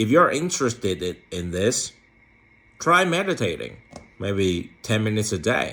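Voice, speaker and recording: At a fairly slow pace, a man with a non-native accent speaks at medium pitch. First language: not English. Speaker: philosophy vlogger. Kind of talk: casual monologue to camera. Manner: halting, with many fillers and repetitions.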